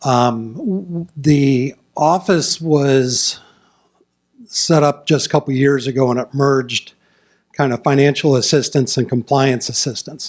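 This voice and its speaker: Here a man with a fairly high pitch talks at a fairly slow pace. His intonation stays fairly even. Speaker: state environmental agency staff. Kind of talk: public presentation. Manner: loud.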